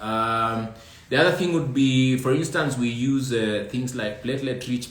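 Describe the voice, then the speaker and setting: Audible room echo and noticeable background noise accompany a man speaking at a moderate pace. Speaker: trichologist answering viewer questions. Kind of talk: live stream Q&A.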